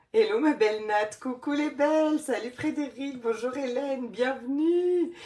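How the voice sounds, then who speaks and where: A woman with a high voice and a dark, mellow tone talks at a fairly slow pace with ordinary pitch variation. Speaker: life coach. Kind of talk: live stream chat with viewers. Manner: animated.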